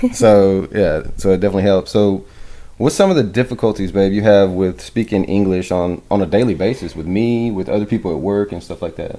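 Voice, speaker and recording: A man speaks at a fairly quick pace with a fairly low pitch and ordinary pitch variation. His tone is dark and mellow. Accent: American. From US South (Georgia, Alabama). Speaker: podcast co-host. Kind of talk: casual chat.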